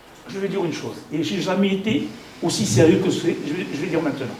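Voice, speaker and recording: Against noticeable background noise and audible room echo, a man speaks in an animated tone. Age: 60s. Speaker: company executive. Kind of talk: welcome speech to business partners. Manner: halting.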